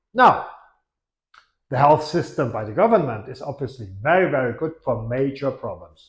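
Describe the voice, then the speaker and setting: Somewhat breathy, a man speaks at a moderate pace with lively intonation. The background is quiet. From Portuguese, raised abroad. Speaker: property specialist and video host. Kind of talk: informational video talk to camera. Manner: hesitant, with fillers and tag questions.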